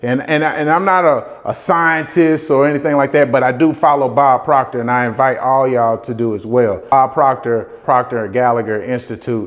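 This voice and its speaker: With a Southern US accent, a man talks at medium pitch and a fairly quick pace, his pitch moving in an ordinary way. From US South. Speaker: real estate investor and motivational vlogger. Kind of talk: motivational talk. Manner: casual, repetitive.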